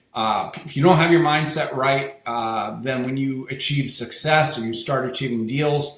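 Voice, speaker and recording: Audible room echo surrounds a man speaking at a moderate pace. His pitch is medium and varies in an ordinary way. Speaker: real estate wholesaling coach. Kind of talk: webinar presentation.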